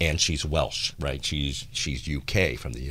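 Using a very deep, low pitch and vocal fry, a man talks at a moderate pace with fairly even intonation. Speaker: radio show host. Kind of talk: radio interview conversation. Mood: warm, smiling, chatty. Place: studio. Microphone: studio mic.

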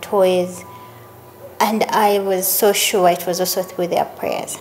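Over light background noise, a woman speaks at a fairly slow pace in a flat monotone. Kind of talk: interview answer. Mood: warm, grateful, reflective. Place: home room.

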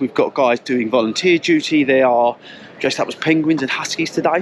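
Over light background noise, a man speaks at a fairly quick pace with ordinary pitch variation, the sound dry with no echo. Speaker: running vlogger. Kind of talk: casual vlog chat. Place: street. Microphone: phone near.

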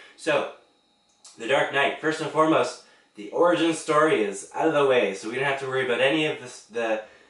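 A man's fairly high voice at a fairly quick pace, with big swings in loudness and audible room echo. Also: ordinary pitch variation. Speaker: movie reviewer. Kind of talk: casual movie review monologue.

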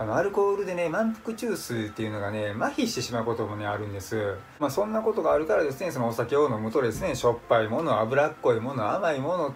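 A man talking at a very fast pace over faint background music. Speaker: vlogger. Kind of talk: casual vlog chat. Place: home room. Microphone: phone near.

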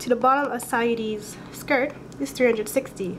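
A woman is speaking at a moderate pace. There is noticeable background noise. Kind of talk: math tutorial voiceover. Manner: casual, conversational.

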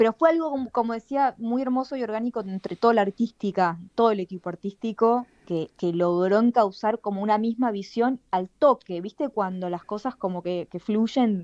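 A plain, everyday voice from a woman, fairly high-pitched with ordinary pitch variation, at a moderate pace with hardly any pauses, dry and close with no echo against a quiet background. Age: 30s. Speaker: playwright. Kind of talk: radio interview.

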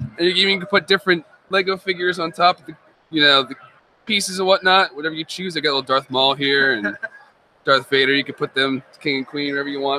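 A man talks very fast at a fairly high pitch, with ordinary pitch variation. The sound is dry, with no echo. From Nazareth, Pennsylvania. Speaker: hobbyist builder. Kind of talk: casual interview at convention. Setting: live stream at fan convention. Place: hall. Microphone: studio mic.

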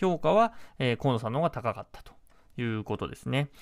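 Lively intonation marks this man's speech over a quiet background. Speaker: political reporter. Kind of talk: news commentary. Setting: studio. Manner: halting. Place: studio. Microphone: studio mic.

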